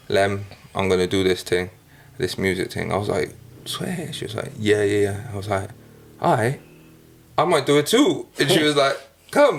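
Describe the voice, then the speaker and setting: A man with a South Welsh accent, fairly low pitch, lively intonation, a somewhat breathy sound, moderate pace and long, frequent pauses. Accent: Newport Welsh. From Wales, Newport. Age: 20s. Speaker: rapper. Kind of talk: casual chat.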